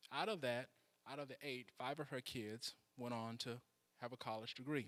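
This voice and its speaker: An ordinary speaking voice from a man with an American accent, medium pitch, fairly even intonation and a moderate pace. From US South, Mississippi. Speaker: political candidate. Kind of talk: candidate speech. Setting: church hall with audience.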